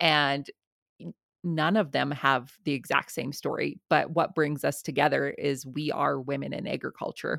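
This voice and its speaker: A woman with a Canadian accent speaks at a moderate pace in a very deep, low voice with vocal fry and fairly even intonation, on a very clean recording with a silent background. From southern Alberta, Canada. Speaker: farmer and podcaster. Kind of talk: interview.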